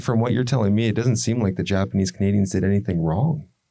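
In a very clean recording against a silent background, a man with a fairly low pitch and a dark, mellow tone speaks with lively intonation. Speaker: podcast host. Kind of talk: casual interview.

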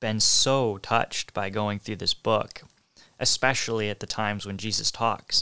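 On a very clean recording with a silent background, a man speaks in a fairly low, bright, sharp tone with monotone, flat intonation. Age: 20s. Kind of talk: solo devotional talk.

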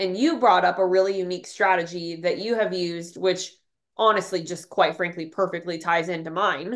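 This woman's voice is medium in pitch. She talks at a fairly quick pace. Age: 30s. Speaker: podcast host and social media coach. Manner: animated.

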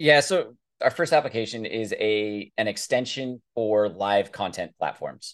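Against a quiet background, a man with an unremarkable speaking voice speaks at medium pitch and a moderate pace. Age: 30s. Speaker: tech startup founder. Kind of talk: casual interview.

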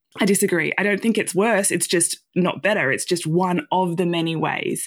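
A woman speaks with an Australian accent at a moderate pace. Her pitch is medium, and the recording is very clean with a silent background. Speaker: nonprofit coordinator. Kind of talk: interview.

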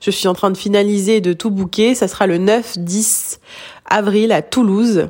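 The woman's intonation is fairly even. She talks at a very slow pace. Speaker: hypnotherapist. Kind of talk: recorded voice message update. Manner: halting, repetitions.

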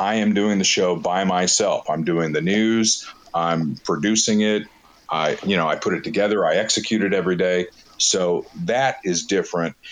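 Over noticeable background noise, a man's fairly low voice keeps a very even loudness, with ordinary pitch variation and a moderate pace. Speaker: radio program director and morning host. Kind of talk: interview. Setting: live audio chat room.

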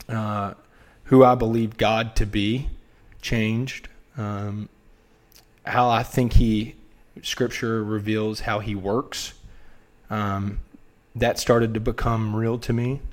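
Speaking very slowly with long, frequent pauses, a man with a Southern US accent keeps a monotone, flat intonation. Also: medium pitch for a man. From US South, North Carolina (Wilmington). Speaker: former college baseball player. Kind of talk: casual chat.

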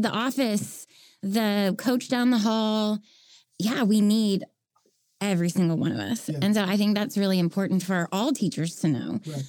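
A woman talks in a plain, everyday voice at a moderate pace. Her pitch variation is ordinary. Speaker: former teacher and workshop facilitator. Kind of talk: casual chat.

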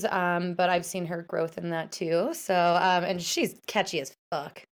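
A plain, everyday voice from a woman at medium pitch and a moderate pace, in a very clean recording with a silent background. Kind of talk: casual interview chat.

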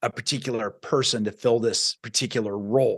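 In an American accent, a man talks at a moderate pace with an energetic tone. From US Midwest, small-town Iowa. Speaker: success coach and podcaster. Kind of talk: podcast interview.

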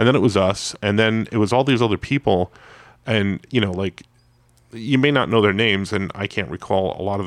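Words come out fairly quickly. It is a normal speaking voice, and its pitch moves in a typical way. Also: man. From New York, US. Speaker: comic book creator and comic shop co-owner. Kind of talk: casual chat. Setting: comic shop.

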